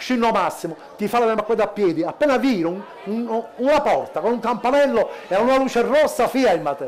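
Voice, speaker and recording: A man talks at a moderate pace with an extremely high pitch and lively intonation. Light background noise can be heard. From Sicily. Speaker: cabaret comedian. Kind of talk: stand-up. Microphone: headset.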